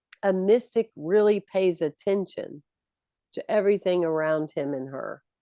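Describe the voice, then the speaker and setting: A woman's medium-pitched voice with an American accent, dark and mellow in tone, at a moderate pace, with ordinary pitch variation, big swings in loudness, and a dry, close sound with no echo. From US South, South Carolina. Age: 60s. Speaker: minister and motivational speaker. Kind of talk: interview.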